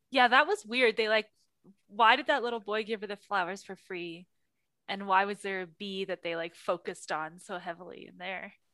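At a moderate pace, a woman with an unremarkable speaking voice talks with ordinary pitch variation and big swings in loudness. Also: medium pitch for a woman. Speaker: podcast host. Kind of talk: casual chat.

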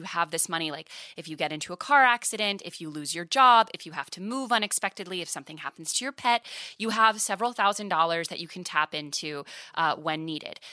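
In a very clean recording with a silent background and a dry, close sound with no echo, a woman with a fairly low pitch speaks fairly quickly in a bright, sharp tone, with lively intonation and big swings in loudness. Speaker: personal finance media founder and host. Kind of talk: casual interview. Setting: studio.

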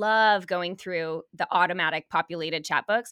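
A woman with an ordinary speaking voice talks at a medium pitch with fairly even intonation, recorded dry and close with no echo against a silent background. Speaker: podcast host. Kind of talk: casual interview chat.

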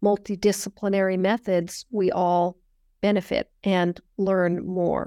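A woman with a General American accent speaks in a dark, mellow tone with monotone, flat intonation. The recording is very clean with a silent background, and the sound is dry and close with no echo. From US, Northern California. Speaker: history professor. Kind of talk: interview.

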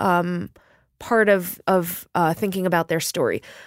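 In a New York accent, a woman talks at a fairly slow pace. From New York City, Queens. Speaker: novelist. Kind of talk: interview conversation. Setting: studio.

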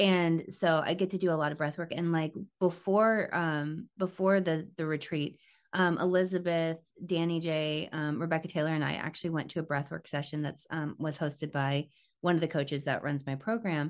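A woman speaks at a moderate pace with an American accent, her pitch fairly low and her intonation fairly even. It is an unremarkable speaking voice against a quiet background. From southern Missouri and Tampa. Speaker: hairstylist and educator. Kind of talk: casual interview chat.

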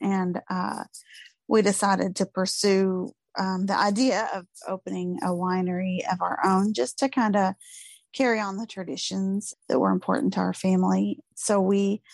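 Recorded with a dry, close sound with no echo and a quiet background, a woman speaks in an American accent. Her pitch is medium and her pace moderate. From Tontitown, Arkansas (Ozarks). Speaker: winery owner. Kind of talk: interview. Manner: halting.

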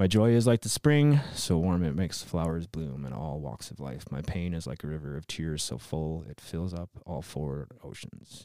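A man with an American accent talks at a moderate pace in a very deep, low pitch, with a dark, mellow tone. He has hardly any pauses and big swings in loudness. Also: ordinary pitch variation. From US Midwest, Wisconsin. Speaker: comedian. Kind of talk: casual chat.

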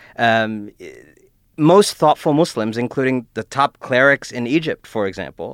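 With an American accent, a man speaks at a medium pitch and with lively intonation, recorded very cleanly against a silent background with a dry, close sound and no echo. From Cleveland, Ohio. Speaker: author and newspaper columnist. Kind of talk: casual chat. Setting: studio. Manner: halting.

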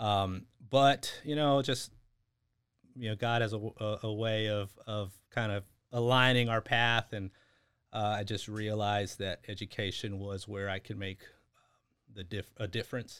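A man with a fairly low pitch and an American accent talks at a fairly slow pace with fairly even intonation in a normal speaking voice, recorded very cleanly against a silent background. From Texas (San Antonio, Houston). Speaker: school district administrator. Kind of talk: interview.

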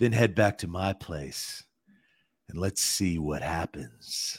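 Putting on a character voice, a man speaks at a very slow pace in a very deep, low pitch, recorded very cleanly with a silent background. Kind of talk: dramatic trailer voice. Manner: creepy, seductive.

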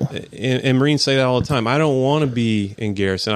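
The pace is very fast and the intonation fairly even. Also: man. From Atlanta, Georgia. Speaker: military chaplain. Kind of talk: casual interview.

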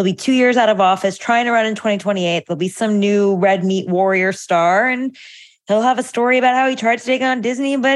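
In a normal speaking voice, a woman with an American accent talks at a fairly quick pace, with a fairly high pitch and lively intonation. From Italian American. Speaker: political journalist. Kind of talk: casual chat.

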